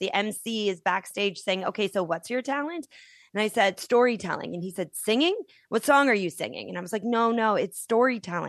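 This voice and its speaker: A woman speaks in a normal speaking voice at a medium pitch, with ordinary pitch variation. The background is quiet. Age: 40s. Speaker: author and storyteller. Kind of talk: interview.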